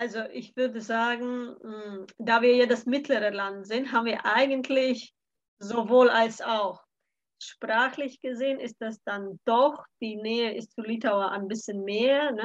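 A woman with a Latvian accent speaks at a very slow pace in a fairly high pitch, her intonation fairly even but her loudness swinging widely. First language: Latvian (speaking German). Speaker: cultural mediator. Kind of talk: casual chat.

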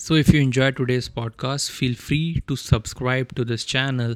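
A man at medium pitch with an Indian accent, moderately paced, on a very clean recording with a silent background. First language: Hindi. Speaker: car technology podcaster. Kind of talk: solo explainer podcast.

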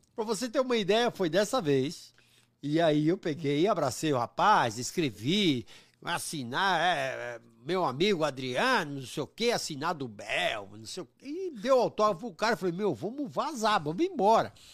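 With a high pitch for a man and very wide pitch swings, this man speaks at a moderate pace on a very clean recording with a silent background. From São Paulo, East Zone. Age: 50s. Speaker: comedian. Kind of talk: casual chat.

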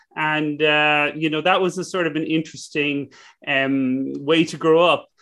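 A man with an Irish accent speaks at a moderate pace in a fairly high voice, his intonation flat and monotone. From west of Ireland. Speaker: business school professor and entrepreneur. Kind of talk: interview conversation.

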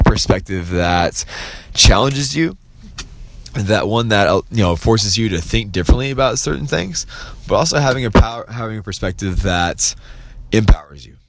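Over noticeable background noise, a man with a medium-pitched voice talks at a moderate pace in an animated tone. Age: 20s. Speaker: motivational podcast host. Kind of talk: solo motivational monologue. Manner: casual, filler-heavy.

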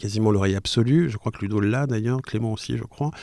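A man's fairly low voice with ordinary pitch variation, in a very clean recording with a silent background. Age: 40s. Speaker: podcaster. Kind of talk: casual interview chat. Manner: hesitant, many fillers and repetitions.

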